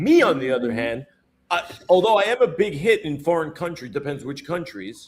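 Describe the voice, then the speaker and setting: Talking at a fairly quick pace with an American accent, a man uses a fairly high pitch, an animated tone and very wide pitch swings. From US city. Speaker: podcast co-host. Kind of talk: casual chat.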